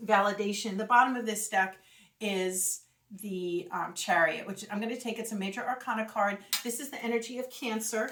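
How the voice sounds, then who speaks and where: Her fairly high-pitched voice swings widely in loudness as this woman speaks. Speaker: tarot reader. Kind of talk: tarot reading monologue. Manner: fast; animated.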